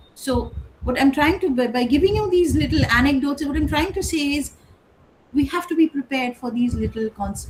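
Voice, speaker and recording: A woman talks while noticeable background noise fills the recording. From India (Kolkata). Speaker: English professor. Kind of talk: lecture. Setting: online session. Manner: conversational, with hesitations.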